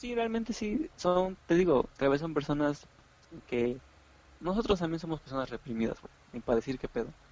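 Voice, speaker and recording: With long, frequent pauses, a man speaks at a fairly high pitch that makes very wide swings. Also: moderate pace. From Mexico, Oaxaca. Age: 20s. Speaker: podcast host. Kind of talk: casual chat.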